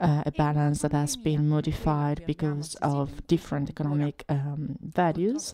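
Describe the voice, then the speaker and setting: A woman with an Italian accent speaks at a fairly slow pace in a very deep, low pitch. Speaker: activist and researcher. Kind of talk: lecture; panel discussion.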